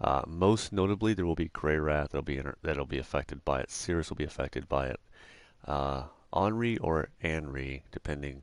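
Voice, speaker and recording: A soft-spoken man with a very deep, low pitch, vocal fry, ordinary pitch variation and a moderate pace against a quiet background. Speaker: video game let's play host. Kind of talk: gameplay commentary. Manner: halting.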